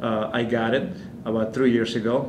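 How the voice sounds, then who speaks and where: A man with an Argentine accent speaks at medium pitch and a moderate pace. Noticeable background noise and audible room echo fill the recording. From Argentina. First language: Spanish. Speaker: immigrant interviewee. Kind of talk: personal testimony interview. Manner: halting, many fillers and restarts.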